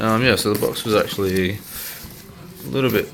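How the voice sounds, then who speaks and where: Over music in the background, a man with an Australian accent talks at a moderate pace in a fairly low pitch, with audible room echo. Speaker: hobbyist video maker. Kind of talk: unboxing video. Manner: halting, many fillers.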